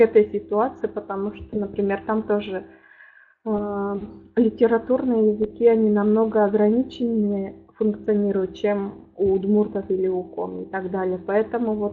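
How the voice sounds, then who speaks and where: A woman at a moderate pace and medium pitch, with monotone, flat intonation. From Udmurtia, Russia. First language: Udmurt (speaking Russian). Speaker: linguist, lecturer. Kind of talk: academic lecture. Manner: halting, many filler sounds.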